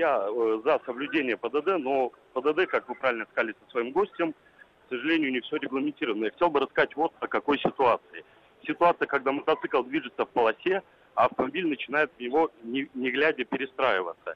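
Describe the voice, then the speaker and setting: A man with a normal speaking voice, a fairly high pitch, ordinary pitch variation and a fairly quick pace. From Mytishchi, Moscow region. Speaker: motorcyclist and driving-rules teacher. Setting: phone call.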